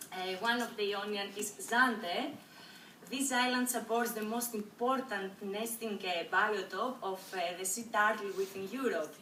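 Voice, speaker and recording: Someone with a Greek accent speaks at a fairly slow pace. Audible room echo and noticeable background noise fill the recording. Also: woman, fairly high pitch for a woman, fairly even intonation. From Greece. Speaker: university student. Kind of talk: class presentation. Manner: halting, many fillers.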